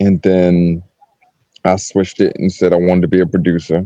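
In a dry, close sound with no echo, a man speaks with a dark, mellow tone and low pitch. He keeps a moderate pace with little pitch movement.

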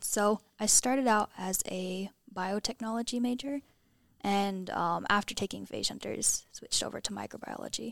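In a dry, close sound with no echo, a woman with a plain, everyday voice speaks at a moderate pace, medium pitch and ordinary pitch variation. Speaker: undergraduate student. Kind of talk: podcast interview.

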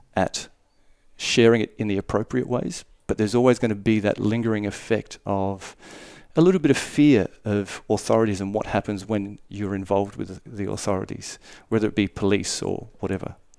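A man's fairly low voice with ordinary pitch variation, at a fairly quick pace. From Darwin, Northern Territory, Australia. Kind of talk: casual interview.

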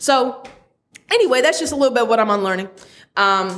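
Her pitch rises and falls in an ordinary way. The speaker is a woman. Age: 30s. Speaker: podcast host. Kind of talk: casual monologue.

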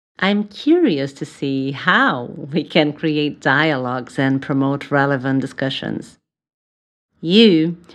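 A woman speaks very slowly in a very deep, low voice with a Brazilian accent. The background is quiet. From Brazil, São Paulo. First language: Portuguese. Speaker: psychotherapist and podcast host. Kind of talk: solo podcast introduction.

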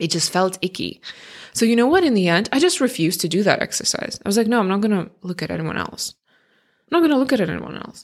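A woman with a non-native accent speaks at medium pitch and a very fast pace, with lively intonation. The recording is very clean, its background silent. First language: not English. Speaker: career change coach and podcast host. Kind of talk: solo podcast monologue. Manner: conversational.

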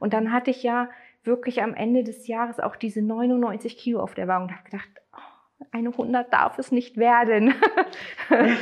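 The speaker's intonation stays monotone and flat, broken by long, frequent pauses. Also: woman, high pitch for a woman, moderate pace. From Germany, Neustadt. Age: 40s. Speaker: former coaching client. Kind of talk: interview testimony.

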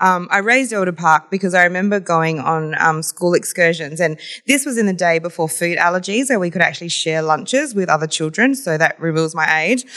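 Speaking at a fairly quick pace, a woman with a fairly low pitch uses lively intonation and a bright, sharp tone. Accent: Australian. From Adelaide, South Australia. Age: young. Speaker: entrepreneur and community leader. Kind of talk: interview.

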